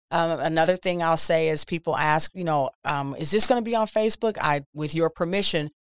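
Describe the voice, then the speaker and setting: Using an ordinary speaking voice, a woman with an American accent speaks at a fairly quick pace with hardly any pauses, her pitch fairly low with ordinary variation. The recording is very clean with a silent background, dry and close with no echo. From Milwaukee, Wisconsin, US Midwest. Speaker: photographer. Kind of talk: interview.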